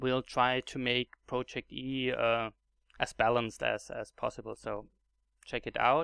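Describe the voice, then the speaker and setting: Against a quiet background, someone speaks fairly slowly with a German accent. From Germany. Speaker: gaming YouTuber. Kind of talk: tutorial. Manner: halting, many fillers and repetitions.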